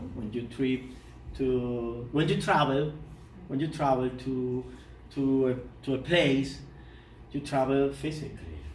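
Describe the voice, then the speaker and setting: With a Spanish accent, a man speaks at a fairly slow pace and medium pitch, somewhat breathy, with ordinary pitch variation, long, frequent pauses and audible room echo. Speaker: poet. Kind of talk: lecture. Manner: halting.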